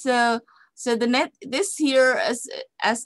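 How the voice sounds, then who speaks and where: A woman with an Indonesian accent at a very slow pace, dry and close with no echo. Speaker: psychology lecturer. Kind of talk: lecture. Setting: online webinar. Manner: halting, many fillers and repetitions.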